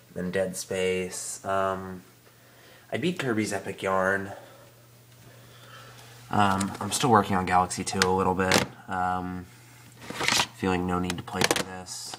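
Over noticeable background noise, a man talks at a very slow pace with long, frequent pauses. His very deep, low voice is monotone and flat. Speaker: let's play gamer. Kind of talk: casual update talk to camera.

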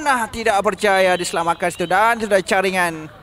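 Ordinary pitch variation in a Malaysian accent. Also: man. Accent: Malaysian Malay. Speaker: football commentator.

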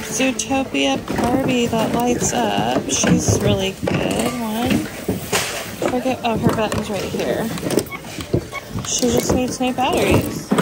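Over music in the background, the speaker goes at a very slow pace with long, frequent pauses, the sound dry with no echo. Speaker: thrift reseller vlogger. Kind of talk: casual vlog chat. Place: shop. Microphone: phone near.

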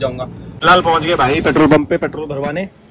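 A man speaks at a fairly quick pace with ordinary pitch variation, the sound dry with no echo and light background noise. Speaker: travel vlogger. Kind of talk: casual vlog chat. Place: car. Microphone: phone near.

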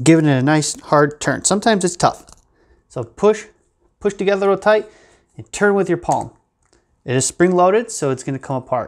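A man speaks at a fairly quick pace in a high pitch. The background is quiet. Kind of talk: tutorial. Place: workshop.

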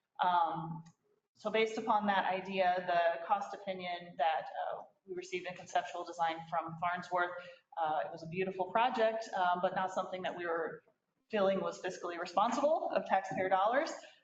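A woman speaks with fairly even intonation. Room echo can be heard. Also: medium pitch for a woman. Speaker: city staff presenting committee report. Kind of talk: council meeting report. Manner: fast.

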